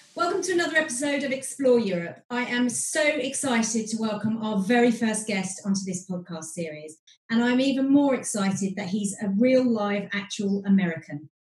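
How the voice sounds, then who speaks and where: A woman's fairly high voice in a British accent, with lively intonation, a moderate pace and hardly any pauses. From Britain. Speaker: podcast host. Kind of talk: podcast interview.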